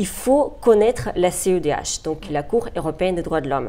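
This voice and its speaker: With a Russian accent, a woman speaks in lively intonation. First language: Russian (speaking French). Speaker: human rights lawyer. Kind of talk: interview. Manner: hesitant, with frequent fillers.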